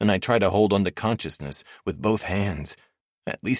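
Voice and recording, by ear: Someone reads aloud in a natural voice, and the background stays quiet.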